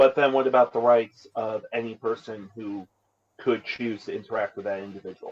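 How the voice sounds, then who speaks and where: A man in a normal speaking voice talks at a moderate pace and medium pitch, with fairly even intonation and big swings in loudness. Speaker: friend joining a gaming stream. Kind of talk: casual chat while gaming on stream.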